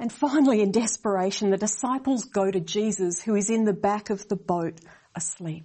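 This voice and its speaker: A woman with a somewhat breathy, medium-pitched voice talks at a moderate pace with ordinary pitch variation. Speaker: preacher. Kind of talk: sermon.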